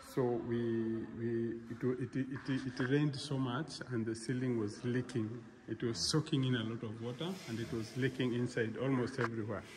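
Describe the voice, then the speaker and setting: Noticeable background noise fills the recording. The speaking pace is moderate. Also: man. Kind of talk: casual vlog chat. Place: hall. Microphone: phone near.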